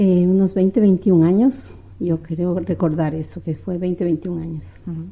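A somewhat breathy woman with a fairly low pitch, fairly even intonation and a fairly slow pace. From Ecuador, Quito. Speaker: migrant and former university student. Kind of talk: interview.

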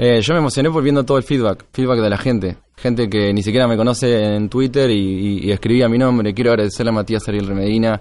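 This man's speech rushes by very fast. Pauses barely occur at all. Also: medium pitch for a man, ordinary pitch variation, very even loudness. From Argentina, Tres Arroyos (Buenos Aires province). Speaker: conference organizer. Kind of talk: interview conversation. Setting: live recording at a security conference.

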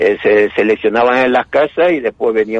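Recorded dry and close with no echo, a man talks at medium pitch and a moderate pace. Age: 60s. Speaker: retired chemistry teacher. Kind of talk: interview. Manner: halting.

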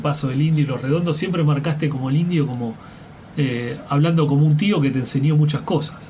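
A man with a fairly high pitch is heard over noticeable background noise, with audible room echo. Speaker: radio host. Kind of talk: interview.

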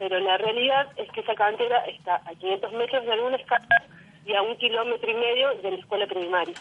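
Noticeable background noise surrounds this woman's voice. She speaks fairly quickly, at a fairly high pitch. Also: ordinary pitch variation. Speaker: neighborhood activist. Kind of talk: phone interview. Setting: phone call.

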